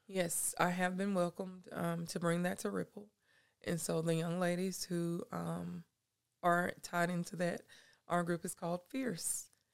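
A woman with a Southern US accent speaks at a fairly slow pace in a fairly low pitch. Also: fairly even intonation. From South Carolina, Anderson. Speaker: youth mentor and nonprofit founder. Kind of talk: casual interview.

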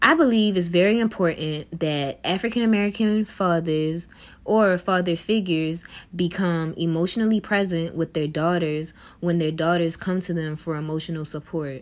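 An ordinary speaking voice from a woman, fairly low in pitch, with ordinary pitch variation at a moderate pace. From Baltimore, Maryland. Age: 20s. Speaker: podcast host and social work student. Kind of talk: solo podcast monologue, partly scripted.

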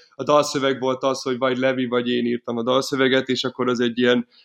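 Against a quiet background, the talking runs fairly fast. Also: man. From Hungary, Miskolc. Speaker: folk punk band violinist, singer and manager. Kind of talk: casual interview. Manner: halting, many repetitions and fillers.

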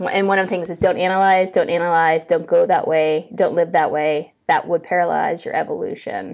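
A woman speaks at a fairly quick pace with hardly any pauses. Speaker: coach and facilitator. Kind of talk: casual interview chat. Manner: fast; animated.

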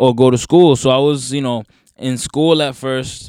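A man with an American accent uses a plain, everyday voice, speaking at a moderate pace with ordinary pitch variation. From northern New Jersey. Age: 20s. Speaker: musician. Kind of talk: casual chat.

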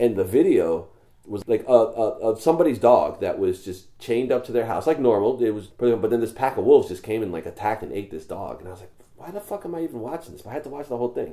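Speaking very fast with an American accent, a man at medium pitch uses lively intonation and a dark, mellow tone. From New York. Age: 40s. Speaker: podcast host, veteran. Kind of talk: casual chat.

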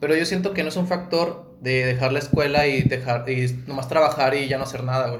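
Over noticeable background noise, a man with a fairly high pitch speaks at a fairly quick pace with fairly even intonation. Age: 20s. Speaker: podcast co-host. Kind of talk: casual chat.

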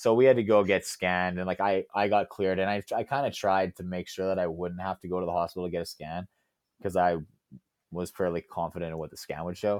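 A man with a very deep, low pitch speaks at a very fast pace with fairly even intonation. The background is quiet, and the sound is dry and close with no echo. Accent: Canadian. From Alberta, Canada. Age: 20s. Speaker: CrossFit athlete. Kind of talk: interview.

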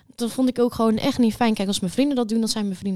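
A woman talks in a fairly high pitch with a dark, mellow tone and fairly even intonation. The recording is very clean, with a silent background. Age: 20s. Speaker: social work student, podcast co-host. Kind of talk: casual chat.

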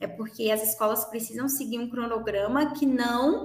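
The pitch varies an ordinary amount. The pace is fairly slow. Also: woman. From Brazil, Minas Gerais. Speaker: English teacher. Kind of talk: interview.

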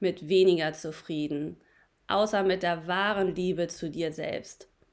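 A woman's animated, upbeat voice at medium pitch and a fairly slow pace, on a very clean recording with a silent background. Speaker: podcast host. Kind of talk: pep talk. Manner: animated, upbeat and encouraging; warm, addressing listeners directly as friends.

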